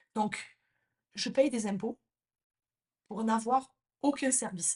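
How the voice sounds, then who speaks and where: Somewhat breathy and animated, a woman talks at a medium pitch with ordinary pitch variation. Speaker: hairdresser and salon business coach, podcast host. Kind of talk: podcast monologue, impassioned rant. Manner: direct, addresses listener as tu. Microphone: new microphone.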